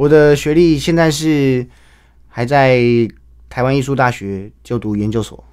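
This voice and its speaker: A man speaks rather slowly against a quiet background, with ordinary pitch variation. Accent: Taiwanese. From Taiwan. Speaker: Peking opera actor; young opera actor guest. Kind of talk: radio interview; event promotion. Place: studio. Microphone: studio mic.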